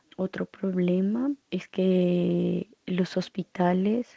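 Pitched fairly low, a woman speaks with monotone, flat intonation. The sound is dry and close, with no echo. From Colombia. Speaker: international volunteer. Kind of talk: online interview. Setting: video call.

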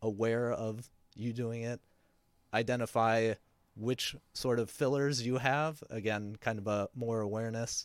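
Captured in a very clean recording with a silent background and a dry, close sound with no echo, a man speaks at a fairly slow pace in an ordinary speaking voice, his pitch medium. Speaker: podcast host and audio editor. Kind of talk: casual chat. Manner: filler-heavy, laid-back.

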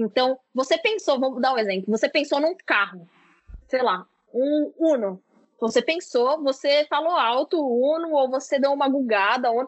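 A woman speaks high in pitch with lively intonation. Her loudness stays very even. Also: moderate pace. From São Paulo, Brazil. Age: 20s. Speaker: product manager. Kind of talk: casual interview.

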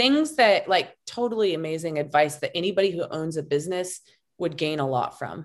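A woman with a plain, everyday voice speaks in an American accent at a fairly quick pace. Her fairly low pitch carries lively intonation. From Montana. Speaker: branding coach and podcaster. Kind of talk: casual chat.

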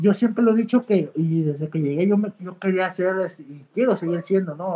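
A man speaks with a Mexican accent. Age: 20s. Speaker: professional wrestler. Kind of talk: interview.

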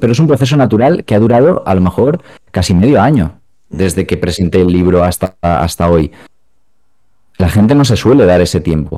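With lively intonation and very even loudness, a man speaks in a very deep, low pitch and a dark, mellow tone. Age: 20s. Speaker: video game PR and author. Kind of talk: casual chat.

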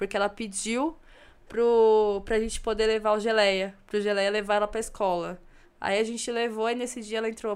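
On a very clean recording with a silent background, a woman with a fairly high pitch talks at a fairly quick pace in a monotone, flat intonation. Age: 30s. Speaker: photographer. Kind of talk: casual chat.

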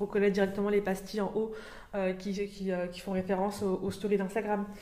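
A woman speaks at medium pitch in a monotone, flat intonation, at a fairly quick pace. Audible room echo and noticeable background noise fill the recording. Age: 20s. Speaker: UX designer. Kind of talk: casual discussion. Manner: hesitant, many fillers.

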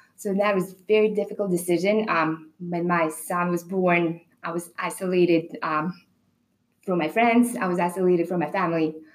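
A woman with a Belarusian accent speaks at a moderate pace, her pitch fairly low and her intonation fairly even. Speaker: personal trainer and wellness coach. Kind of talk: casual panel discussion.

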